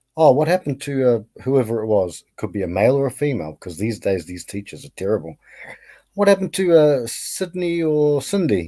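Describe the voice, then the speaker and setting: In a New Zealand accent, a man talks at a fairly quick pace with a medium pitch and a dark, mellow tone. His pitch swings very widely and his loudness varies a lot, in a very clean recording with a silent background. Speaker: caller. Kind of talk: casual chat.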